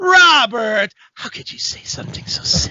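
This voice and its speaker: At a moderate pace, someone whispers in a put-on character voice. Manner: starts loud and insulted, ends in a whisper.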